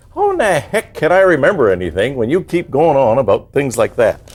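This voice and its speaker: Loudness stays very even as a man talks at a fairly quick pace. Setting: kitchen, cooking. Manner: laughs in a high-pitched giggle.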